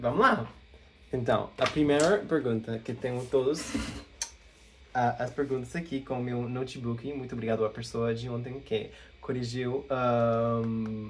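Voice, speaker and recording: Against noticeable background noise, a man talks at a medium pitch. His pace is fairly slow and his intonation fairly even. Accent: non-native. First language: English (speaking Portuguese). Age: 20s. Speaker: language learner vlogger. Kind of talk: casual Q&A vlog. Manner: halting, with fillers.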